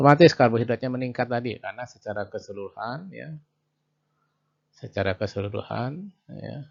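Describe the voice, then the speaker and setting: A man talks at a fairly quick pace with vocal fry. His pitch variation is ordinary. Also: medium pitch for a man, big swings in loudness. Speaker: university lecturer. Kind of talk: lecture. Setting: video call. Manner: loud. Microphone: too quiet.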